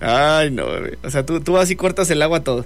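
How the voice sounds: A man's fairly high voice, fairly quick and with vocal fry and lively intonation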